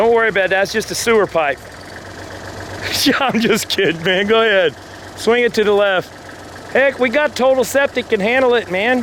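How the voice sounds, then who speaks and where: Over noticeable background noise, the speaker goes at a fairly quick pace with ordinary pitch variation, very even loudness and long, frequent pauses. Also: man, high pitch for a man. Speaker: backhoe operator instructing a friend. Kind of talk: on-the-job instruction, casual chat. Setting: outdoors on a job site. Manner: talkative, rapid commands.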